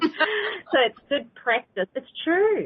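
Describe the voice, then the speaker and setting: A woman with a New Zealand accent. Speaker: psychic teacher. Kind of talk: live call-in teaching show.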